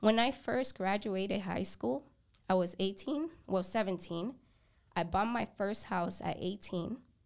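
The voice has vocal fry and lively intonation at a very slow pace. The recording is very clean, with a silent background. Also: woman, medium pitch for a woman. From a developing country, moved to the US at 10. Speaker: photography business owner. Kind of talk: casual interview. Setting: podcast studio.

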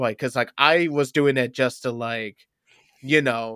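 With an American accent and a normal speaking voice, a man talks at a moderate pace and medium pitch with ordinary pitch variation, recorded very cleanly with a silent background and a dry, close sound with no echo. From upstate New York. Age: 20s. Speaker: stand-up comedian. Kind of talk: casual chat.

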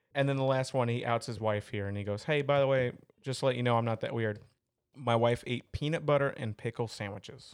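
Against a quiet background, a man talks at a fairly quick pace in an unremarkable speaking voice. His pitch is medium and his intonation fairly even. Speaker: podcast host. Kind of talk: casual banter.

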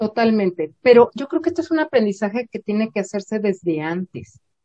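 A woman speaks with a fairly high pitch and very wide pitch swings. Her voice is somewhat breathy. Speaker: psychologist and university professor. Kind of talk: interview.

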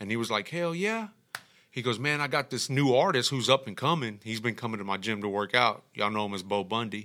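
Bright, sharp speech comes at a fairly quick pace with ordinary pitch variation. The recording is very clean, with a silent background. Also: man, medium pitch for a man. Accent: Texan. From Texas, Houston east side. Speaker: music producer. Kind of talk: casual chat.

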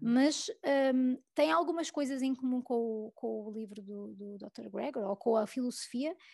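Recorded with a dry, close sound with no echo, a woman at a fairly high pitch talks at a moderate pace with ordinary pitch variation. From Portugal, Lisbon area. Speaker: food blogger and food photographer. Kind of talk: casual interview chat. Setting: podcast recording. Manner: hesitant, many repetitions.

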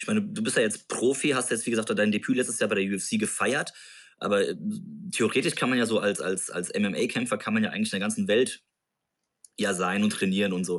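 Against a quiet background, a man with a fairly low pitch and ordinary pitch variation speaks at a fairly quick pace, broken by long, frequent pauses. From Germany, Mainz. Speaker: podcast host. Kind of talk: interview.

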